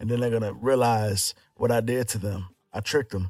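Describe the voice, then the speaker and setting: A man with an unremarkable speaking voice, medium pitch and a fairly quick pace. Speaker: rapper. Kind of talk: casual chat. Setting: studio.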